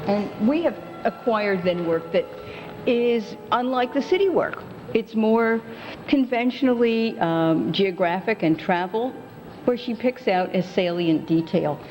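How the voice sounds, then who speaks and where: The intonation is lively and the loudness very even. Noticeable background noise runs underneath. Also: woman, fairly high pitch for a woman. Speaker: museum curator. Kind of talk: interview answer.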